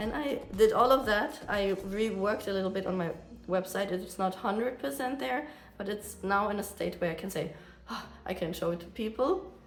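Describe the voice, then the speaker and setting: Lively intonation marks this woman's medium-pitched voice, heard with audible room echo. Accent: German. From Germany. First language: German. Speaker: artist vlogger. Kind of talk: casual vlog monologue. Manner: fast; hesitant, many fillers.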